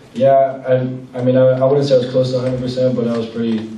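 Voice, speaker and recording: A man is speaking, with audible room echo. Light background noise sits behind him. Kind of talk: interview answer. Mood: calm, modest after a win. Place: hall.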